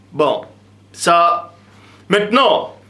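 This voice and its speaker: A man with a high pitch talks amid noticeable background noise and audible room echo. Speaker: religious teacher. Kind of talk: lecture.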